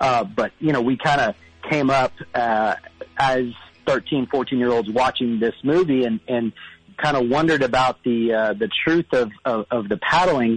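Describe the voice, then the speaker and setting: A man's normal speaking voice at medium pitch in an American accent, fairly slow in pace, with ordinary pitch variation, very even loudness and a dry, close sound with no echo. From South Texas, Corpus Christi. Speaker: caller. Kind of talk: call-in chat.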